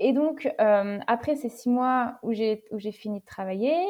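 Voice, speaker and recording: This woman's voice sits at a fairly high pitch. Its pitch varies in an ordinary way. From western France, Deux-Sèvres (Niort). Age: 20s. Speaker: long-distance bike traveller. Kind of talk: interview testimony. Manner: hesitant, many fillers and repeated words.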